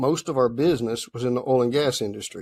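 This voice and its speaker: A man talks at a moderate pace with medium pitch. The sound is dry and close, with no echo. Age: 60s. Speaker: machine shop owner, entrepreneur. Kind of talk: interview.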